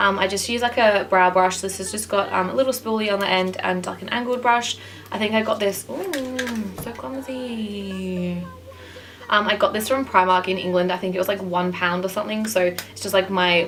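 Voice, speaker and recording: A woman talks at medium pitch with ordinary pitch variation. Noticeable background noise runs behind her. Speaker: makeup artist and beauty vlogger. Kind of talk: tutorial. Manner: fast.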